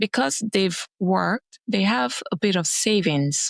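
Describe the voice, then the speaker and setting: A woman with a Nigerian accent speaks very slowly at a medium pitch with ordinary variation. The sound is dry and close, with no echo. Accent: Nigerian accent, noticeable. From Nigeria, Lagos. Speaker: venture capital investor. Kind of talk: podcast interview.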